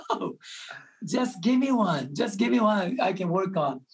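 With a Japanese accent, the speaker moves at a very slow pace with lively intonation. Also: man. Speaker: restaurant entrepreneur. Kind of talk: interview. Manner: frequent laughter.

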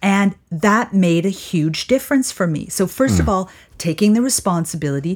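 A woman at a moderate pace, medium pitch, a plain, everyday voice. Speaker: podcast co-host. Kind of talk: casual interview chat.

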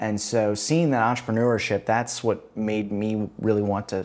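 With an American accent, a man speaks at a moderate pace. His voice sits fairly low, with ordinary pitch variation. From US Midwest, Chicago. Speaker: startup founder. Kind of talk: interview. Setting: guest's apartment.

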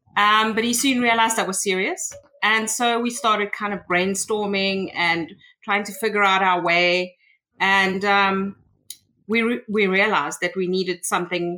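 A woman speaks with a South African accent. Her tone is bright and sharp, on a very clean recording with a silent background. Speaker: tech consultant. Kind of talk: interview.

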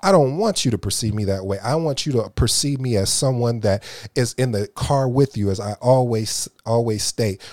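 A man speaks in a normal speaking voice at medium pitch and a moderate pace. The sound is dry and close, with no echo. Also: ordinary pitch variation. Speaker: podcast host. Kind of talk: motivational monologue.

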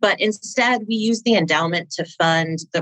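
A woman with an American accent talks in a normal speaking voice at a moderate pace, with ordinary pitch variation and a dry, close sound with no echo. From Minnesota. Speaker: nonprofit CFO turned finance consultant. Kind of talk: interview.

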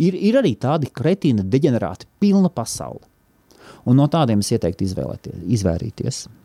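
A man's medium-pitched, dark and mellow voice with vocal fry and very wide pitch swings, recorded dry and close with no echo. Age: 40s. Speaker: podcast host. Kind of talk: solo monologue. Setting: office.

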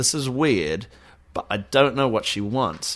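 Here a man with a New Zealand accent speaks at a medium pitch. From New Zealand, Auckland. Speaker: podcast co-host. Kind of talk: casual chat.

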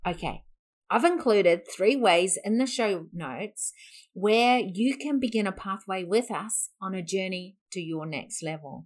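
A woman with an ordinary speaking voice at medium pitch, lively intonation and big swings in loudness, on a very clean recording with a silent background. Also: fairly slow pace. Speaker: podcast host and business founder. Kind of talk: sales pitch.

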